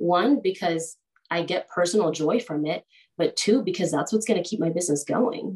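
Her pitch fairly low and her voice somewhat breathy, a woman talks at a moderate pace with ordinary pitch variation. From Peru, moved to the US at age 10. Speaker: real estate agent. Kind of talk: interview.

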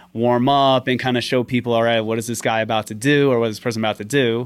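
On a very clean recording with a silent background, a man with a New York accent speaks at a fairly quick pace. His pitch is medium and his intonation fairly even. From Staten Island, New York. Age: 30s. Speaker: physician assistant and shuffle dancer. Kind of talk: casual interview.

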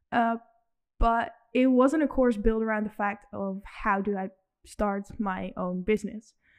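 Slowish in pace, a woman speaks in a plain, everyday voice, fairly high in pitch with ordinary pitch variation. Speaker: student entrepreneur. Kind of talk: interview.

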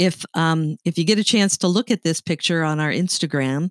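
A woman speaks with a slight Canadian accent at a fairly low pitch and ordinary pitch variation. The sound is dry and close, with no echo. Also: very clean recording, silent background. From Canada. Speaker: podcast host. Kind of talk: casual chat.

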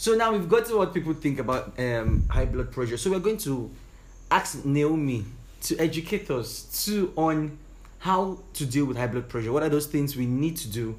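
Lively intonation marks a somewhat breathy voice that proceeds at a moderate speed. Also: man, fairly high pitch for a man. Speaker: podcast co-host. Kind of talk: casual chat.

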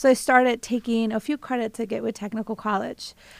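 Fairly quick, monotone female speech with a Spanish accent, fairly high in pitch and flat in intonation, on a very clean recording with a silent background. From Mexico. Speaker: college trustee. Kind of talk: radio interview, casual chat. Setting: radio studio.

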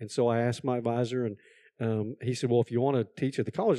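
Speaking very fast, a man with a Texan accent keeps a medium pitch. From Texas. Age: old. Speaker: community college president. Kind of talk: interview.

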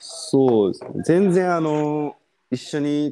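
Fairly high male voice of dark, mellow tone. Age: 20s. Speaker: guest who had COVID, call center worker. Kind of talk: casual chat.

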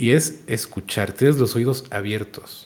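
The voice is somewhat breathy, with ordinary pitch variation. It carries a Mexican accent. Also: man. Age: 30s. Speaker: content creator. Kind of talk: casual chat.

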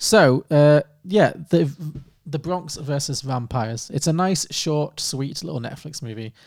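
Using a normal speaking voice, a man talks at a fairly slow pace with a fairly high pitch and ordinary pitch variation. The recording is very clean, with a silent background. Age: 30s. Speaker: film podcast co-host. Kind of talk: casual chat.

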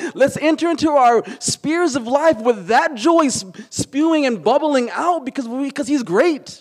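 A man at an extremely high pitch, with hardly any pauses. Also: ordinary pitch variation, moderate pace. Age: 40s. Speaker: pastor. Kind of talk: sermon.

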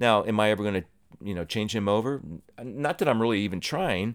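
An American accent comes through at a very fast pace with lively intonation. The recording is very clean, with a silent background. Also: man. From Ohio. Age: 60s. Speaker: podcast host. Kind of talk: solo monologue podcast.

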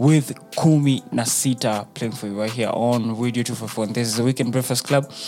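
A man speaks at a moderate pace in an animated tone, his pitch medium. Music plays in the background. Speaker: radio host. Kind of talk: radio DJ patter, casual chatty show-host banter with slang and Swahili mixed in. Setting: studio. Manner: animated, laid-back, slangy, switching between English and Swahili.

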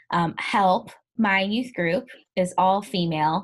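In a very clean recording with a silent background, a woman with an unremarkable speaking voice talks at medium pitch with ordinary pitch variation. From US Midwest, Ferguson, Missouri (St. Louis area). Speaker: podcast host, youth ministry organization founder. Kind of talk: casual interview chat.

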